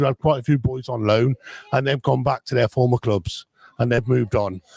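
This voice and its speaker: Dry and close with no echo, a man's somewhat breathy voice at a medium pitch moves at a fairly quick pace. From Coventry, English West Midlands. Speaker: football fan. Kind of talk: casual chat. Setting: hotel, live stream. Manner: halting.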